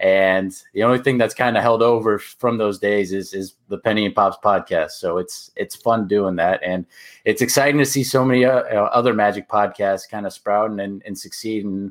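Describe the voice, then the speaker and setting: The recording is very clean, with a silent background. A man speaks at a moderate pace in an ordinary speaking voice, fairly low in pitch, with fairly even intonation. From Orlando, Florida, US. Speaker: basketball podcaster. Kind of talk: casual chat.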